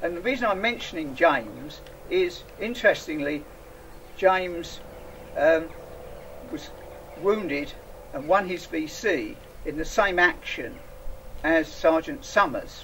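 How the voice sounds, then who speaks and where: With an English accent, the speaker talks at a fairly slow pace, leaving long, frequent pauses over noticeable background noise. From England. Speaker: association representative. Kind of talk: public speech. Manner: halting, many fillers.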